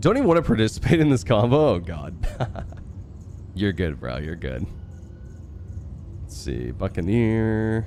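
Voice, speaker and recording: Music in the background behind a man at a moderate pace, fairly low in pitch with very wide pitch swings, big swings in loudness and long, frequent pauses. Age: 30s. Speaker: video game streamer. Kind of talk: live gameplay stream chat. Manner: casual, animated.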